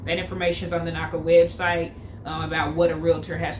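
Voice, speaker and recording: The woman's fairly quick speech comes with audible room echo and noticeable background noise. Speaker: lifestyle vlogger. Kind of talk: casual vlog talk to camera. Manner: fast; frequent um fillers.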